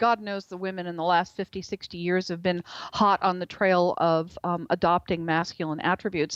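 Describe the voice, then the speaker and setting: A woman with a fairly low pitch has a normal speaking voice. The sound is dry and close with no echo, over a quiet background. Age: 60s. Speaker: author and journalist. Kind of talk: interview. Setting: radio show.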